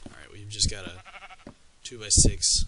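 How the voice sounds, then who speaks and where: Quietly, a man speaks with fairly even intonation over noticeable background noise. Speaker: Minecraft builder. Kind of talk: game tutorial walkthrough. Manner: quiet, low volume.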